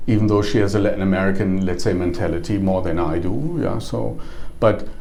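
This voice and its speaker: A man with a German accent at a fairly low pitch, fairly quick pace and ordinary pitch variation, with noticeable background noise and audible room echo. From Germany, small village. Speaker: travel company executive. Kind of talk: interview. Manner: halting, many fillers.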